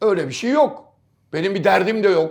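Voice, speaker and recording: In an animated tone with lively intonation, a man talks at a moderate pace. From Istanbul, Turkey. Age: 60s. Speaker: football pundit. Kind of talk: casual chat.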